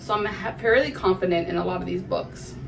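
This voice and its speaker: Amid noticeable background noise and audible room echo, a woman speaks in an animated tone at a fairly quick pace. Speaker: book vlogger. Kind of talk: casual chat. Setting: recording in a bathroom. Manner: fast.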